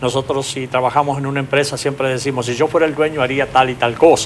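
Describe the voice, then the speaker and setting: A man with a mid-range voice talks while a fair amount of noise fills the background. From Argentina, Paraná, Entre Ríos. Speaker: business consultant. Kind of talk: TV interview. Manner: hesitant, many fillers.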